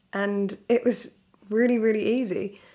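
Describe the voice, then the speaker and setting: With a British accent, a woman talks at a fairly slow pace. Her pitch sits fairly high. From Britain. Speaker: surrogate mother. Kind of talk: casual talk to camera.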